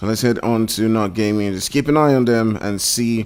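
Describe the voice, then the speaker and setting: A man's fairly low voice at a moderate pace. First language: not English. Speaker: esports commentator. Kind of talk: live commentary. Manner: animated.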